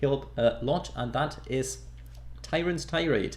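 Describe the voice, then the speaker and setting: Speaking at a moderate pace, this man has a non-native accent. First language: not English. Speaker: gaming YouTuber. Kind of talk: tutorial. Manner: casual.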